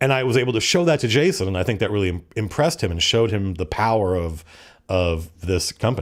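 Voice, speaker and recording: Speaking at a very fast pace, a man has a fairly low pitch and lively intonation. The recording is very clean, with a silent background. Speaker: game designer and online video creator. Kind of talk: casual live-stream chat answering viewer questions. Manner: conversational with hesitations.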